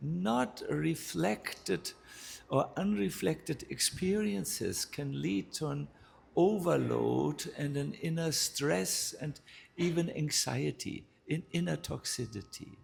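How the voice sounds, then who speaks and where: Speaking in a German accent, a man talks at a very slow pace. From northern Germany. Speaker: spiritual teacher, monk. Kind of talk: spiritual talk. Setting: live talk with audience.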